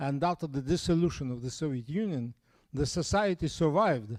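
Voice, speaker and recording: In a very clean recording with a silent background, a speaker with a Russian accent uses ordinary pitch variation. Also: man. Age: 70s. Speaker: astronomy professor. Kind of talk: lecture. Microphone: no mic.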